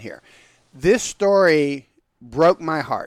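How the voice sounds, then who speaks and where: A man with an American accent, fairly high-pitched for a man, with lively intonation and a dry, close sound with no echo. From US South (Georgia). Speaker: rabbi and show host. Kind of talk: casual chat.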